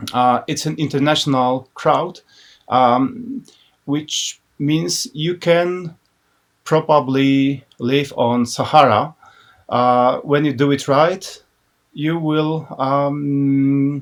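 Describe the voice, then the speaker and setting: A man with a Polish accent speaks very slowly in a fairly high pitch, his intonation rising and falling in an ordinary way. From Poland, Łódź. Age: 30s. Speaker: business owner and graphic designer. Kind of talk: casual interview. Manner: halting.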